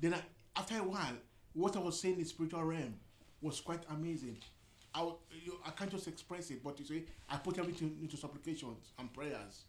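A man speaks very fast at a high pitch with ordinary pitch variation. Long pauses break up his speech often. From Nigeria. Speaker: discussion panelist. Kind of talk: casual group discussion.

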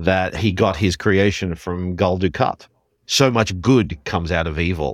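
In a very clean recording with a silent background, a man speaks very deep and low at a fairly slow pace, with ordinary pitch variation. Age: 40s. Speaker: podcast co-host. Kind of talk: casual chat.

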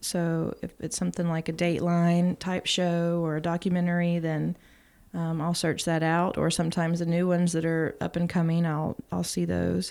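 The woman talks in a Texan accent at a moderate pace, her pitch fairly low. Her intonation is monotone and flat, and the recording is very clean with a silent background. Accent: Texan Southern US. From East Texas. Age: 30s. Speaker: former barista and mother. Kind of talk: casual interview chat.

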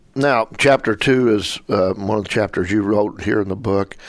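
An ordinary speaking voice from a man, fairly low in pitch, with fairly even intonation at a moderate pace against a quiet background. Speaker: radio interviewer host. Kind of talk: radio interview.

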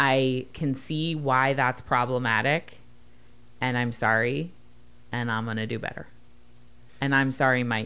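A woman speaks at a very deep, low pitch with fairly even intonation. She goes at a fairly slow pace, with long, frequent pauses. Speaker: podcast host, author. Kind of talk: casual chat; promotional outro. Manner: clear, articulate.

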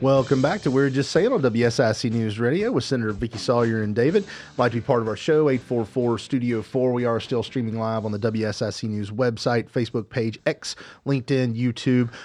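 At a moderate pace, a man talks in an unremarkable speaking voice at a medium pitch with ordinary pitch variation. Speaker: radio host. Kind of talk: casual radio talk show chat. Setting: radio studio.

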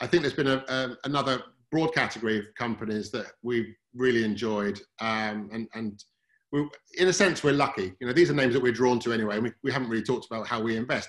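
A man with a British accent, medium pitch, ordinary pitch variation and a fairly quick pace. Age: 40s. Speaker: fund manager. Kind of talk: interview. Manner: halting.

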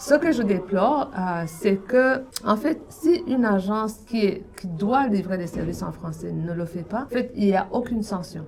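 A woman talks at a fairly slow pace with lively intonation and hardly any pauses, against noticeable background noise. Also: medium pitch for a woman. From Burundi. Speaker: director of a francophone community centre. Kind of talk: radio interview. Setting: radio studio.

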